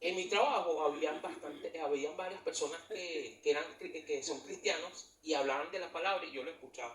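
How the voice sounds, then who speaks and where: A man with a Venezuelan accent at a moderate pace. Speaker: church leader. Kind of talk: testimony.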